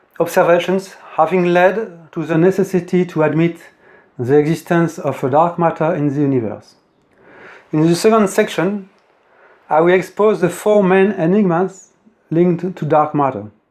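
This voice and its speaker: With a French accent, a man speaks in a high voice at a moderate pace with ordinary pitch variation, taking long, frequent pauses. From France. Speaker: independent physics theorist. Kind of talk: lecture. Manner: formal.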